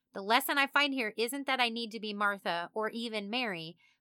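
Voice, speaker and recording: Bright and sharp in tone, a woman with a Midwestern US accent speaks at a moderate pace in a fairly high pitch, with a dry, close sound with no echo on a very clean recording with a silent background. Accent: US Midwest. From Kansas. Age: 30s. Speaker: podcast host. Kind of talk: casual monologue. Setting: home studio, alone. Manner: animated.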